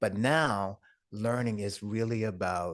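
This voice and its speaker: An ordinary speaking voice from a man, fairly low in pitch with fairly even intonation, over a quiet background. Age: 60s. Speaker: entrepreneur and speaker. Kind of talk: interview.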